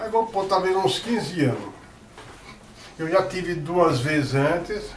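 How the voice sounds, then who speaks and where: With noticeable background noise behind him, a man speaks at a fairly slow pace, his voice high-pitched with ordinary variation. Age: 70s. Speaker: artist and teacher. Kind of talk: interview answer. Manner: casual, conversational.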